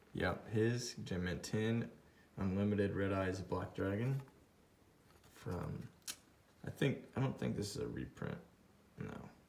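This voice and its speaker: With long, frequent pauses and a fairly slow pace, a man speaks at a fairly low pitch with ordinary pitch variation against light background noise. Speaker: YouTube card collector. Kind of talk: card unboxing commentary. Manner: mumbling to himself; excited, exclaiming. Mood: excited, pleased. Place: home room. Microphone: phone near.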